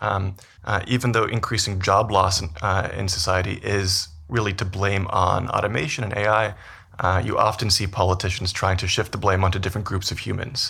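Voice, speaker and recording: A man's normal speaking voice with a Canadian accent, fairly low in pitch, at a moderate pace with fairly even intonation. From Canada, Vancouver. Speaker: business school professor, behavioral scientist. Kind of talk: interview.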